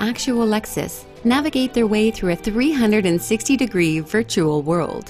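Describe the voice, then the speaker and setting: A woman's fairly high voice with lively intonation at a moderate pace, clear music in the background. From Canada. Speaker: voice actor. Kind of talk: TV commercial read. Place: studio.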